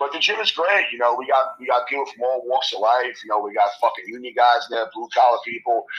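With a New York accent, a man talks at a very fast pace in a medium pitch with ordinary pitch variation. Noticeable background noise is present. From New York, Queens. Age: 40s. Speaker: bodybuilder and gym owner. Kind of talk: casual chat.

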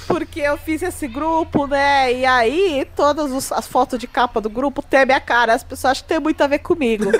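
Moderate pace with hardly any pauses and ordinary pitch variation, against noticeable background noise. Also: woman, high pitch for a woman. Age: 20s. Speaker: podcast host and thoracic surgeon. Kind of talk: casual chat.

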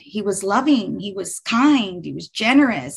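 A fairly high-pitched woman's voice with vocal fry, over a quiet background. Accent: American. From Texas, Houston. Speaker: business owner sharing faith story. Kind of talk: testimony.

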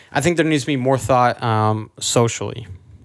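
A man with an American accent has a normal speaking voice at medium pitch with ordinary variation. The recording is very clean, with a silent background. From Houston area, Texas. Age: 20s. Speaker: podcast host, worship musician. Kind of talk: casual chat.

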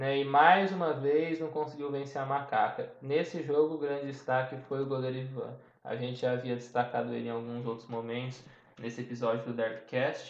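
A man speaks at a moderate pace in a medium pitch. His intonation is fairly even, and audible room echo fills the recording. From interior of São Paulo state, Brazil. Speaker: sports podcast co-host, journalism student. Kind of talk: casual football discussion podcast.

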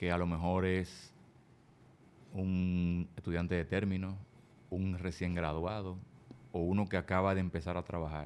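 A man's very deep, low voice at a moderate pace. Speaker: podcast host. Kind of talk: casual interview.

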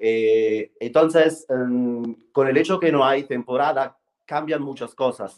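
Using an Italian accent, a man at medium pitch speaks at a very slow pace with ordinary pitch variation. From Italy, Rome. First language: Italian (speaking Spanish). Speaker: fashion PR specialist. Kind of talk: interview. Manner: halting, many fillers.

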